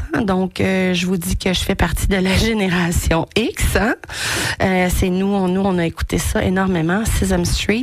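A woman with a Quebec accent at a very slow pace, with noticeable background noise. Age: 40s. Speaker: radio host. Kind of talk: casual monologue. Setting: studio. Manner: animated.

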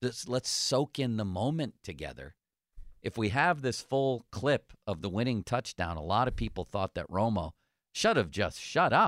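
A man of medium pitch with vocal fry and very wide pitch swings at a moderate pace, in a very clean, dry, close recording with no echo and a silent background. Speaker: sports radio host. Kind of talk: casual sports talk show. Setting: radio studio.

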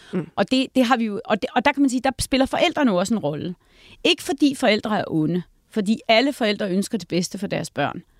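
This woman speaks at a fairly quick pace in a fairly high voice with very wide pitch swings, her sound dry and close with no echo on a very clean recording with a silent background. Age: 50s. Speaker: think tank director. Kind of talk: casual chat.

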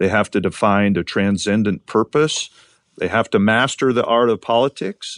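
A man with an American accent and a normal speaking voice talks at a moderate pace and fairly low pitch, with fairly even intonation. The sound is dry and close with no echo, against a quiet background. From Montana. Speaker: state attorney general. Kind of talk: interview.

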